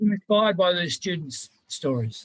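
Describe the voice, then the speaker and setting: A somewhat breathy man with an Australian accent and ordinary pitch variation, in a dry, close sound with no echo. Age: 60s. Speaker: mature-age enabling student. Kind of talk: panel testimony. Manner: halting, many fillers.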